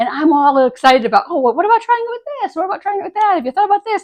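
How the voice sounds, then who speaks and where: With very wide swings in pitch, a woman rattles off her words at a very fast speed. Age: 60s. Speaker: retired dermatologist and style blogger. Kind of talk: casual vlog tutorial. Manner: chatty with many fillers.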